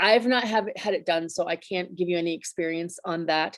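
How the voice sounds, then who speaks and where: This woman has an ordinary speaking voice with ordinary pitch variation. She talks at a moderate pace. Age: 50s. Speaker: essential oils business owner presenting on health. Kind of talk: presentation. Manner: casual, with many fillers.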